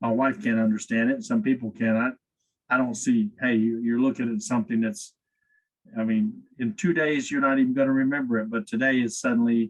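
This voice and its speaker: With lively intonation, a man talks at a fairly quick pace in a medium pitch and an unremarkable speaking voice. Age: 60s. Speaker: company executive, podcast guest. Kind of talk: interview conversation.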